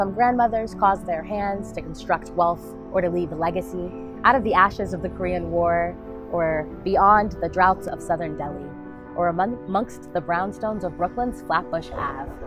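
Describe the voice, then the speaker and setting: A woman talks at moderate speed. Background music accompanies her. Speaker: spoken word poet. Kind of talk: spoken word poetry performance.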